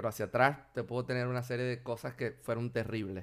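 In a Venezuelan accent, a man with a medium-pitched voice is heard on a very clean recording over a silent background. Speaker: software developer. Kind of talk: casual interview.

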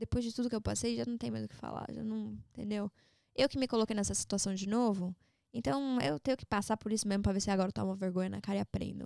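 A woman at a very fast pace, with a dry, close sound and no echo. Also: very clean recording, silent background. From São Paulo, Brazil, raised partly in Orlando. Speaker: social media personality. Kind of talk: podcast interview, casual chat.

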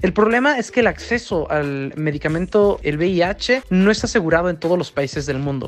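Music plays in the background as a man speaks at a moderate pace. His pitch is high and his intonation lively. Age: 20s. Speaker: person living with HIV sharing experience. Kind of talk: interview testimony.

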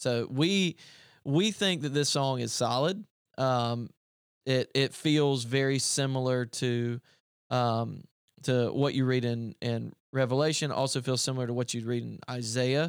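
With a Southern US accent, a man speaks at medium pitch with ordinary pitch variation. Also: fairly slow pace. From upstate South Carolina. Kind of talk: casual chat. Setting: studio.

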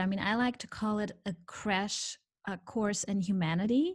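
Somewhat breathy, a woman with fairly high pitch speaks at a fairly slow pace with lively intonation. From Brazil. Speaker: naturopath and trauma therapist. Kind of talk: podcast interview.

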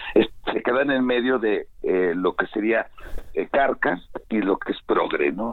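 A man talks fairly slowly while noticeable background noise sits behind him. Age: 40s. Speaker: guest commentator. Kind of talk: casual chat.

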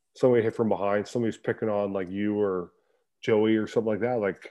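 Delivered at a very fast pace in a Canadian accent, the speech is monotone, with flat intonation. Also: man. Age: 30s. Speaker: ice hockey player. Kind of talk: casual chat.

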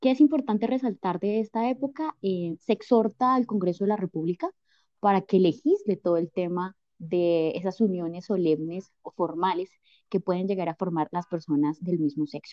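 Lively in intonation, a woman of medium pitch talks at a moderate pace in a plain, everyday voice. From Colombia. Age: 20s. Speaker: law graduate. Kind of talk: expert interview. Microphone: connection drops.

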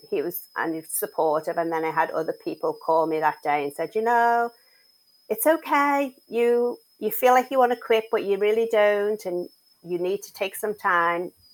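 Using very wide pitch swings, a woman speaks at a moderate pace in a fairly high voice. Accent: English. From England. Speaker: mental health advocate and author. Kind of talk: casual interview chat.

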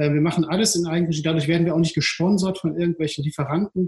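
A man speaks with fairly even intonation at a high pitch. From Ruhr area, Duisburg-Rheinhausen. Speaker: entrepreneur, city beach operator. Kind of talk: casual interview. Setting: video call. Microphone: poor sound quality.

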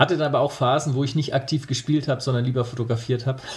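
Somewhat breathy, a man speaks at a very fast pace and medium pitch with fairly even intonation. The recording is very clean, with a silent background. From Franconia, Nuremberg (Germany). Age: 30s. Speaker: hobby photographer. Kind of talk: podcast interview.

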